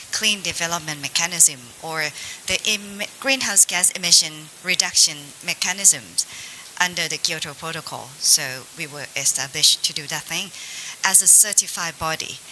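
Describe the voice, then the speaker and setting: Against noticeable background noise, a woman with a Thai accent talks at a moderate pace and fairly low pitch, with ordinary pitch variation. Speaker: government agency representative. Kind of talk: panel discussion. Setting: seminar panel in hotel.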